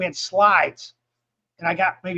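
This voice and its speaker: A man's high-pitched voice at a moderate pace. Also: dry, close sound with no echo. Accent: American. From upstate New York. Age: 60s. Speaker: drag racer and former ER worker. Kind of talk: casual chat.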